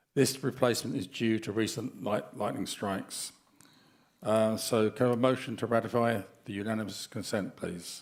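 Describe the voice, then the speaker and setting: A man with a normal speaking voice talks at medium pitch and a moderate pace, his intonation fairly even. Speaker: board meeting chair. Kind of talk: formal meeting.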